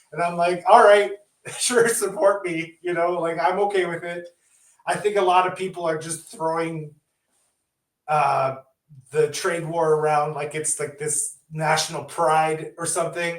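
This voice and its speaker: A man talks at a fairly slow pace in a high pitch, with fairly even intonation but big swings in loudness. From Canada. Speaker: indie horror film director. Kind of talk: interview.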